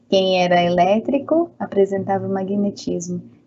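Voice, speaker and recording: A woman speaks at a moderate pace with a medium pitch and ordinary pitch variation. Noticeable background noise is present. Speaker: physics teacher. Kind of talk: online lecture. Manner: chatty, informal.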